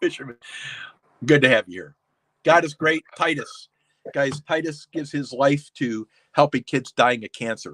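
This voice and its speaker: A man talks at a fairly high pitch and a moderate pace, with ordinary pitch variation and big swings in loudness. Long, frequent pauses break up the dry, close sound with no echo. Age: 60s. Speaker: livestream host of pepper-eating show. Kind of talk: casual livestream chat reading comments. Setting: live stream with chat. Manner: mumbling; halting, repeats words.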